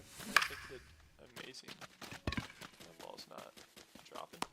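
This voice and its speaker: A man talks at moderate speed while noticeable background noise carries on. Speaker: video game streamer. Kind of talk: live gameplay stream commentary. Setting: live stream. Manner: animated, sudden loud outbursts.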